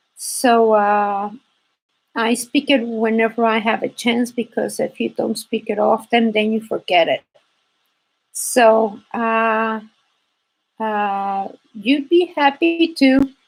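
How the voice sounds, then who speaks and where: Speaking very slowly with a Spanish accent, a woman uses a fairly high pitch and leaves long, frequent pauses. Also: ordinary pitch variation. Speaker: embroidery teacher. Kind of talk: live stream chat.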